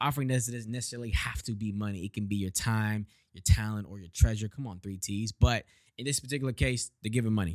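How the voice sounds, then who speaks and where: An animated man talks at a very fast pace in an American accent, at a fairly low pitch with ordinary pitch variation and big swings in loudness. The sound is dry and close with no echo, on a very clean recording with a silent background. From Texas, Houston. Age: 20s. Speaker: podcast host and church worker. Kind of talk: casual devotional monologue.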